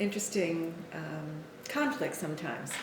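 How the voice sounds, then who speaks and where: Against noticeable background noise and audible room echo, a woman speaks with an American accent. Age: 60s. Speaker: nurse and author. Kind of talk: talking to camera about her book.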